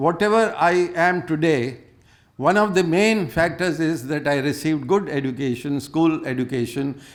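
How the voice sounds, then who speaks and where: A man with an Indian accent speaks at a moderate pace in a fairly high pitch. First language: Hindi. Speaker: conference speaker. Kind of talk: personal anecdote in a panel talk. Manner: halting, with many fillers.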